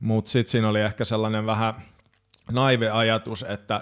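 Against a silent background, a man is heard on a very clean recording. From Finland, Hamina (Kymenlaakso). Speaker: progressive metal drummer. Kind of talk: casual chat.

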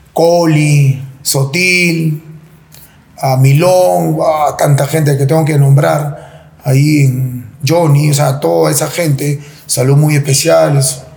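Audible room echo surrounds a man who speaks at a very slow pace with ordinary pitch variation. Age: 40s. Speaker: former football goalkeeper. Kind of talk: interview.

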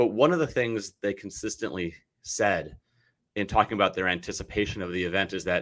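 Over a silent background in a very clean recording, a man talks at a fairly low pitch with ordinary pitch variation. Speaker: podcast host. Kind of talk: interview conversation. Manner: fast talker; excitable.

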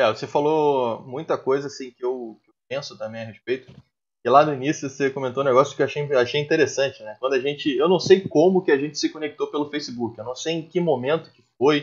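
A man's normal speaking voice, fairly high in pitch with ordinary pitch variation, big swings in loudness and a fairly quick pace. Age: 30s. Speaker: taekwondo instructor. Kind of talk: casual chat.

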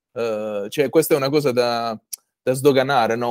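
A man talks at a moderate pace with a medium pitch. He has a plain, everyday voice. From Apulia, southern Italy. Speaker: podcast host. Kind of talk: interview conversation. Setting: video call.

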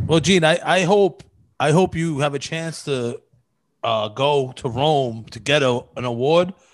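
Speaking with a Brooklyn accent, a man with a fairly high pitch talks at a fairly slow pace with ordinary pitch variation. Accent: New York (Brooklyn). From New York, Brooklyn (Marine Park). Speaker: podcast co-host and comedian. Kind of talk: casual chat.

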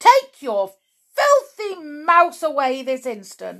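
Shouting slowly in a put-on character voice, a woman swings her high pitch very widely. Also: fairly bright tone.

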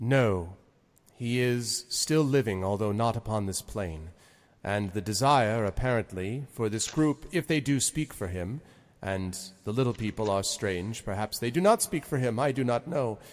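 A man's booming, put-on character voice at medium pitch and moderate pace, on a very clean recording with a silent background. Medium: actual play. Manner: genial, formal, oblivious.

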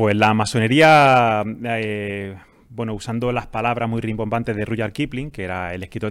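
On a very clean recording with a silent background, a man with a plain, everyday voice speaks at medium pitch with fairly even intonation. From Andalusia, Spain (Jaén). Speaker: pharmacist and freemason. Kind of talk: interview answers, explanatory.

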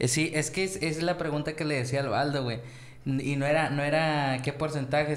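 With a Mexican accent, a man talks at a moderate pace and with fairly even intonation. Noticeable background noise and audible room echo are present. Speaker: podcast co-host. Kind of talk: casual chat.

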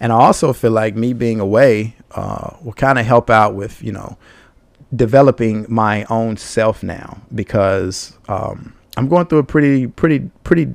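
A man's medium-pitched voice at a fairly slow pace, with ordinary pitch variation and big swings in loudness. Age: 30s. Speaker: podcast host. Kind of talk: solo podcast monologue. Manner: casual, filler-heavy.

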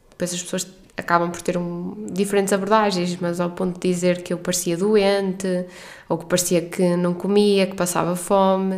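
In a northern Portuguese accent, a woman speaks at a moderate pace with a medium pitch and monotone, flat intonation. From northern Portugal. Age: 30s. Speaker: podcast host, doctor. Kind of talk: personal monologue.

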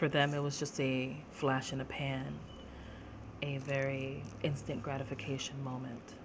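Over noticeable background noise and audible room echo, a woman speaks fairly slowly in a very deep, low pitch with monotone, flat intonation. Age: 40s. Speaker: podcast host, abuse survivor. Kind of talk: personal testimony monologue.

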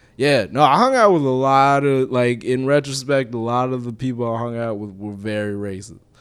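Here is an ordinary speaking voice: a man with an American accent at a medium pitch and moderate pace, using ordinary pitch variation and hardly any pauses. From Minnesota, Minneapolis suburbs. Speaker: comedian. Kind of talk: casual chat.

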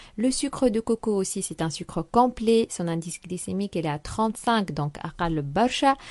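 Over a quiet background, a woman with an ordinary speaking voice talks at a fairly quick pace with hardly any pauses, lively intonation and medium pitch, in a dry, close sound with no echo. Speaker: nutrition segment presenter. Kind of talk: informative nutrition segment.

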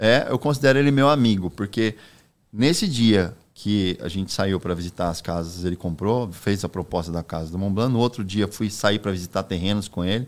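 An ordinary speaking voice from a man, fairly low in pitch with ordinary pitch variation, in a very clean recording with a silent background. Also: moderate pace. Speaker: real estate broker. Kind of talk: casual chat.

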